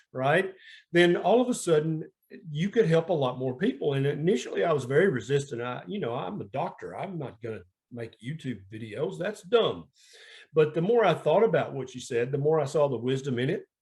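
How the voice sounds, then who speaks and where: In a Southern US accent, a man talks at a fairly quick pace, his somewhat breathy, fairly high voice making very wide pitch swings. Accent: Southern twang. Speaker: family physician. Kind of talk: interview.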